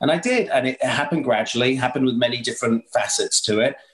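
Speaking at a fairly quick pace, a man with an English accent keeps a medium pitch and fairly even intonation. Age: 50s. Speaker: chef and TV presenter. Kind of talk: casual chat.

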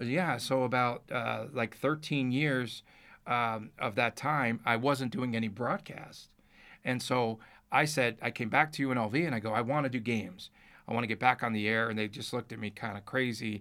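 A man in a New Jersey accent, bright and sharp in tone, on a very clean recording with a silent background. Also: medium pitch for a man, ordinary pitch variation, moderate pace. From Newark, New Jersey. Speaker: sports radio broadcaster and journalist. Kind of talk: casual interview chat.

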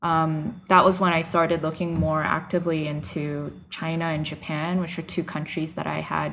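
A woman with a normal speaking voice talks at a moderate pace, her pitch fairly low and her intonation fairly even. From New York / New Jersey area. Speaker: missionary. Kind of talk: interview testimony.

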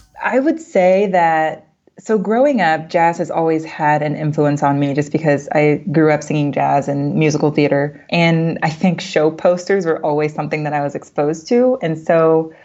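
A woman with a very deep, low pitch talks at a moderate pace with ordinary pitch variation and hardly any pauses. Noticeable background noise runs under her voice. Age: 20s. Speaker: UX designer and design professor. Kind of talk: interview conversation.

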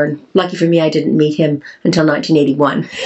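The speaker has a Canadian accent. The pace is moderate. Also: woman. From Canada. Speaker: farmer and beauty entrepreneur. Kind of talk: interview conversation. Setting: farm in Wales.

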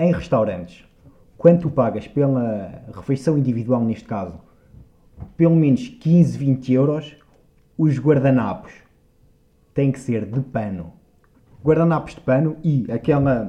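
With a dark, mellow tone, a man talks in a somewhat breathy voice, using lively intonation and long, frequent pauses. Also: medium pitch for a man, fairly slow pace. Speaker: podcast co-host. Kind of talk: casual chat.

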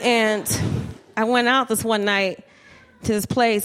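A woman's medium-pitched, monotone voice with flat intonation, fairly slow pace and an American accent. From New Jersey, Trenton. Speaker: stand-up comedian. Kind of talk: stand-up. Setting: stage with audience.

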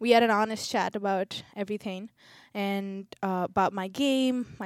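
In a very clean recording with a silent background, a woman with an Indian accent speaks at a fairly high pitch with fairly even intonation. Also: dry, close sound with no echo. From India (Chennai, Tamil Nadu). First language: Telugu. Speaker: college tennis player. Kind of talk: casual interview conversation.

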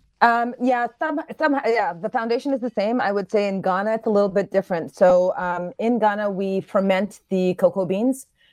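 A woman with an American accent speaks in a normal speaking voice at medium pitch and a moderate pace, with hardly any pauses, ordinary pitch variation and a dry, close sound with no echo. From New York, US. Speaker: chef and chocolatier. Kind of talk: radio interview.

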